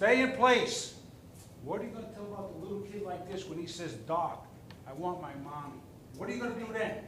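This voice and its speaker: With noticeable background noise and audible room echo, a man in a high pitch talks at a fairly quick pace in an animated tone with ordinary pitch variation. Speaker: resident speaking at public comment. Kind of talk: public comment at town board meeting. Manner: animated, emphatic.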